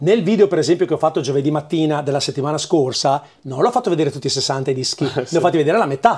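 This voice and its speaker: A man speaks at a very fast pace with hardly any pauses, his pitch fairly high and its variation ordinary. His voice is somewhat breathy against a quiet background. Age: 50s. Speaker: record shop owner. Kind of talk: casual interview, shop tour. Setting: in his record shop. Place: shop. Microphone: lapel.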